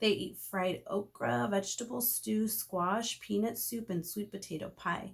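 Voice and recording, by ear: A woman speaks at a fairly slow pace with vocal fry. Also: medium pitch for a woman, ordinary pitch variation.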